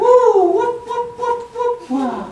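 Squeaky and extremely high-pitched, a put-on character voice comes through with a slight echo. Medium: stage play. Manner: polite, sweet.

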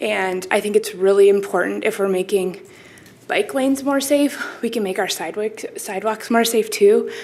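The speaker has an American accent and ordinary pitch variation. The pace is moderate, with noticeable background noise. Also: woman, fairly high pitch for a woman. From Minnesota, US (Minneapolis). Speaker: resident speaking at public comment, parent. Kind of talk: public comment at city meeting. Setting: city commission meeting room. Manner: halting, many fillers.

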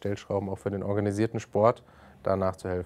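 This man talks at a fairly quick pace with a fairly low pitch and a monotone, flat intonation. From Germany, Frankfurt (Hesse). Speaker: youth sports official; talk show guest. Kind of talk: interview. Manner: hesitant, many fillers. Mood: calm, thoughtful. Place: studio.

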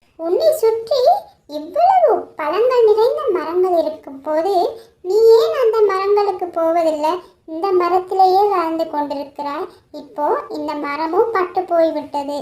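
A cartoonish character voice, extremely high in pitch, gentle in tone, at a very slow pace. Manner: gentle, inquisitive.

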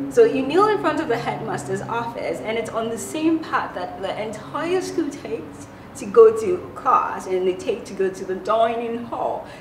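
Over noticeable background noise, a woman speaks at a moderate pace in a fairly high pitch, with very wide pitch swings. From Ghana. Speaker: vlogger. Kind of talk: casual talk to camera. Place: home room.

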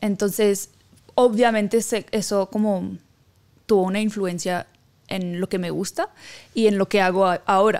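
Over a quiet background, a woman talks at a fairly slow pace with fairly even intonation and long, frequent pauses. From Haiti. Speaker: singer-songwriter; guest. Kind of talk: interview. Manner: halting. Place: studio. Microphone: studio mic.

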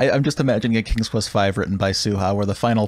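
The pitch varies in an ordinary way. This is reading aloud in a natural voice.

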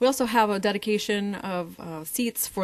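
Speaking at a moderate pace, the woman shows ordinary pitch variation. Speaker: council presenter. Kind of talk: presentation to council. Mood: upbeat promotional. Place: hall.

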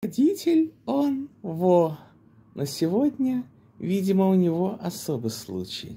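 This man's dark, mellow voice sits high for a man and swings very widely in pitch at a very slow pace. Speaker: storyteller acting out a dialogue. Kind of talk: casual vlog storytelling with role-play. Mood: ironic, mildly annoyed. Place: home room. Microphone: phone near.

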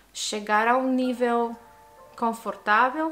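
A woman's fairly high voice, with faint music in the background. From Italy. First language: Italian (speaking Portuguese). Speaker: language learner, polyglot vlogger; language learner vlogger. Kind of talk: casual vlog monologue. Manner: halting, with self-corrections. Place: home room.

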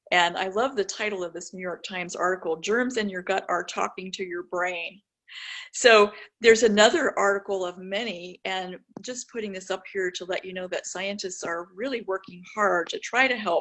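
The background is quiet. A woman's intonation stays fairly even. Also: moderate pace. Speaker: presenter. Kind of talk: lecture.

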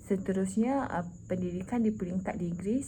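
A woman at medium pitch speaks at a moderate pace with ordinary pitch variation and vocal fry. Her tone is dark and mellow, and the room echo is audible. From Malaysia, Terengganu. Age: 20s. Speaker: teacher job applicant. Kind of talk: self-introduction video. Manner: halting, many fillers.

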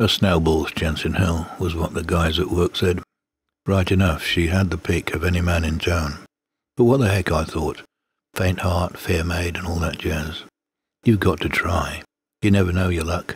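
Somewhat breathy and very deep in pitch, a man with an English accent speaks at a moderate pace with fairly even intonation in a very clean recording with a silent background. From Britain. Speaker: poetry reader. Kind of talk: reading aloud.

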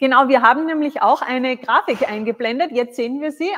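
A woman speaks with a high pitch. Light background noise is present. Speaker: live stream host. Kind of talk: live tasting show. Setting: studio. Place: studio.

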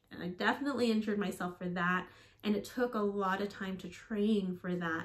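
Here a woman talks at a moderate pace. Her intonation stays fairly even. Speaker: fitness vlogger, teacher. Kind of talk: casual vlog chat. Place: home room.

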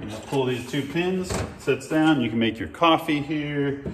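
At a moderate pace, a man talks amid light background noise and audible room echo. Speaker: vehicle DIY host. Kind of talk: tutorial. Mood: relaxed, casual. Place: garage.

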